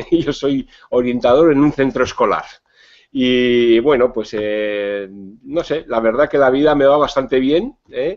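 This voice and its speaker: Very slow speech from a man, medium in pitch, with ordinary ups and downs. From Spain, Navarre (Pamplona). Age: 50s. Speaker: psychologist and diabetes educator. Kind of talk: interview. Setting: video call.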